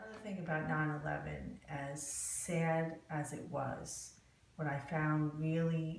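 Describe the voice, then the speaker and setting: A woman with a New Jersey accent speaks at a very slow pace in a very deep, low pitch with fairly even intonation, against noticeable background noise. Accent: New Jersey American English. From New Jersey, USA. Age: 50s. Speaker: court reporter. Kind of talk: oral history interview answer.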